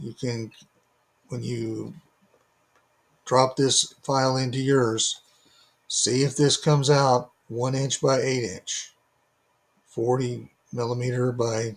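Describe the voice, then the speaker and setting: A man speaks in a flat, monotone way at a medium pitch, his voice somewhat breathy. He talks very slowly, with long, frequent pauses. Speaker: DIY maker selling laser-cut kits. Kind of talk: tutorial. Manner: halting; informal, unpolished.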